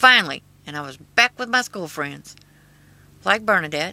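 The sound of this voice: A woman's bright, sharp tone comes through with an American accent.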